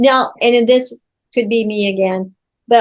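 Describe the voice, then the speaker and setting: A woman with a normal speaking voice and a fairly high pitch talks in fairly even intonation. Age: 60s. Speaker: podcast host. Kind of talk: interview conversation.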